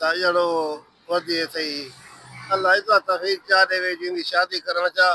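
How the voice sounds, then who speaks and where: A man with a high voice talks in a flat, monotone way. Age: old. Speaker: village elder. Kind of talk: casual interview.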